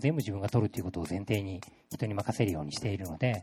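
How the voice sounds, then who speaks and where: This man talks very fast in a dark, mellow tone that is somewhat breathy. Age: 30s. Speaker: creative agency project leader. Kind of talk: talk to a live audience. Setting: stage with audience.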